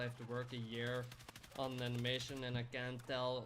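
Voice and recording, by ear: This man's voice sits at a medium pitch.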